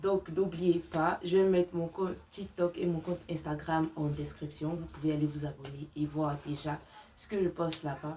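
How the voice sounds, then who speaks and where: In a very deep, low pitch, a woman talks at a fairly slow pace with a dark, mellow tone that is somewhat breathy. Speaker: crochet content creator. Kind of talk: tutorial. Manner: casual, with many fillers.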